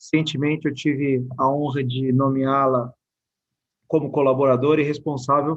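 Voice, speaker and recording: A man with a São Paulo accent talks at a fairly slow pace. His pitch is fairly high. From São Paulo, Brazil. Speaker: state infrastructure secretary. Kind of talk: presentation. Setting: live online event. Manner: formal.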